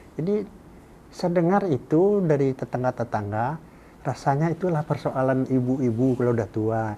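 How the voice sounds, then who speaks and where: A man speaks at a very even volume with lively intonation and a dark, mellow tone. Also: medium pitch for a man, moderate pace. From West Sumatra (Minangkabau). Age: 70s. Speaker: writer and professor. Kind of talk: interview conversation. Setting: podcast studio. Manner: halting, with repetitions.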